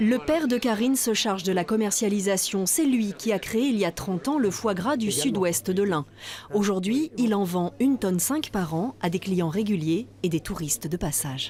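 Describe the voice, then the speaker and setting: Very wide pitch swings in a woman's voice of medium pitch. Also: moderate pace, very even loudness. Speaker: TV news reporter. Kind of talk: TV news narration.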